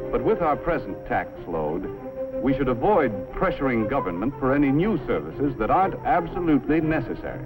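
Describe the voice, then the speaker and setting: Over music in the background, a man speaks at a fairly quick pace with a fairly high pitch. His pitch swings very widely while his loudness stays very even. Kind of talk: educational film narration.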